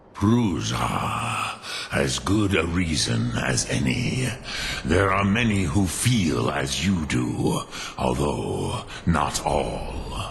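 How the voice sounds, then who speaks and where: A man's very deep, low put-on character voice at a very slow pace, with clear background noise. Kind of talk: mythic archaic speech. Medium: machinima. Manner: slow, grave, measured.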